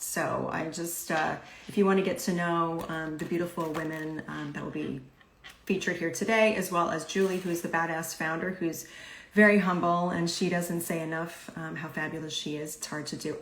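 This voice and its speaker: This woman has an ordinary speaking voice, fairly low in pitch. She talks at a moderate pace with fairly even intonation. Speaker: podcast host and life coach. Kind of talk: live interview host talk.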